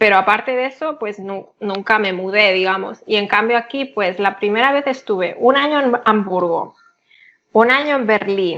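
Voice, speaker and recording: Speaking with a Catalan accent, a woman uses a fairly high pitch, ordinary pitch variation and a moderate pace. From Catalonia, Spain (Barcelona area). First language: Catalan (speaking Spanish). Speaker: polyglot, interview guest. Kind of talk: casual interview.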